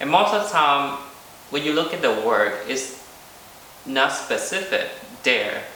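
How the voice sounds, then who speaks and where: A man with a Vietnamese accent amid audible room echo and noticeable background noise. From South Vietnam. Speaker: visual artist. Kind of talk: artist talk presentation. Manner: halting, many filler ums.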